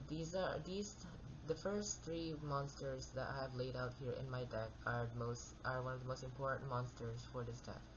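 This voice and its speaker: Soft-spoken, this voice moves along at an unhurried but moderate speed. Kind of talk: card game deck profile talk. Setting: home recording with background noise.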